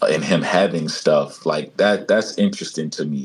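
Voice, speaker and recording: Fairly slow male speech over noticeable background noise. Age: 30s. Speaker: talk show host. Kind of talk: casual chat.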